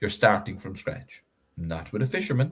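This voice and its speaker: A man with a Cork accent speaks at a medium pitch in an animated, somewhat breathy tone. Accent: Irish, Cork. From Ireland, West Cork. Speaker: fisherman and industry spokesperson. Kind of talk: interview. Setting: live online stream.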